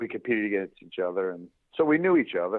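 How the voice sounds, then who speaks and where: This man speaks in a New York accent. His pace is fairly quick. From Eastern Long Island, New York. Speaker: former major league baseball player, youth baseball foundation leader. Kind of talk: podcast interview.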